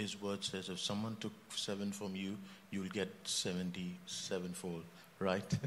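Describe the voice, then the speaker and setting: In a fairly low, monotone voice with flat intonation, a man speaks at a very slow pace. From India. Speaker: church member and healthcare director. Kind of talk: panel discussion. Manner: halting, with many fillers.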